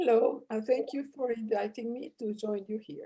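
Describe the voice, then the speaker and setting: Her voice is somewhat breathy, with a dark, mellow tone. The woman speaks at a fairly high pitch. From Mexico. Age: 80s+. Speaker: astronomer, professor emerita. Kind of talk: live interview. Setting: live online event. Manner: halting.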